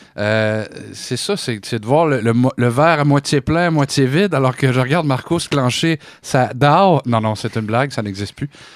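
With a Quebec accent, a man talks at a moderate pace and medium pitch with ordinary variation, over a quiet background. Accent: Québécois French. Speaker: radio co-host. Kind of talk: casual chat. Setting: studio.

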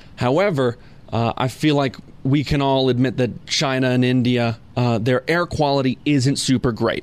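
A man with an American accent and a plain, everyday voice speaks at a medium pitch and a moderate pace. His loudness is very even and his intonation fairly even. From California. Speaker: radio producer. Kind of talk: casual chat.

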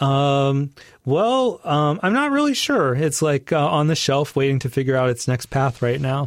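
A man with a fairly high voice speaks at a moderate pace with ordinary pitch variation and very even loudness, recorded very cleanly against a silent background. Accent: American. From US, suburbs of Washington DC. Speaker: psychiatrist and playwright. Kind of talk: interview conversation. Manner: hesitant, many fillers.

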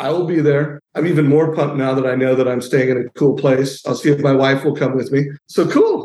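Fairly high-pitched, a man talks at a fairly quick pace in a monotone, flat intonation with hardly any pauses. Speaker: mortgage industry founder. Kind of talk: casual promotional chat.

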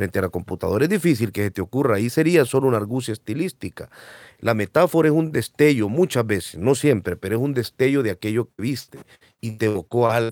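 The recording is very clean with a silent background and a dry, close sound with no echo. Speech comes at a very fast pace with lively intonation. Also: man, medium pitch for a man. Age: 30s. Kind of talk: casual conversation.

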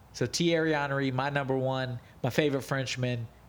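In a very clean recording with a silent background, a man with an unremarkable speaking voice talks at a fairly slow pace with fairly even intonation. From United States. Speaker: MMA podcast co-host. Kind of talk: casual chat.

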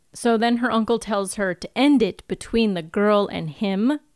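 Dry and close with no echo, a woman's voice moves at a fairly slow pace with medium pitch and ordinary pitch variation. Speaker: podcast co-host. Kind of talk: casual chat. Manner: squealy.

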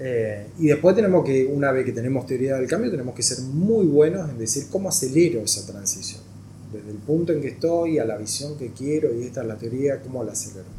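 Speaking at a fairly quick pace, a man with a medium-pitched, dark, mellow tone sounds somewhat breathy, with lively intonation and big swings in loudness. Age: 40s. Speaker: NGO executive director, former hockey player. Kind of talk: interview.

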